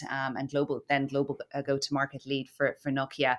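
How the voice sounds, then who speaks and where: This woman speaks with an Irish accent on a very clean recording with a silent background. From Ireland (Cork). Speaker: marketing director. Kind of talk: podcast interview. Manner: hesitant, many fillers.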